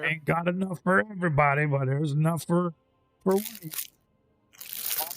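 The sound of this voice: A man does a gruff, put-on character voice, fairly high in pitch with ordinary pitch variation. He keeps a moderate pace and very even loudness.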